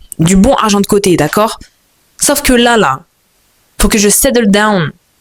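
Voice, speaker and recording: A female speaker with medium pitch and ordinary pitch variation takes a fairly slow pace. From France, Moroccan family. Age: 20s. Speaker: vlogger. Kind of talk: casual monologue vlog. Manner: animated, halting with repetitions.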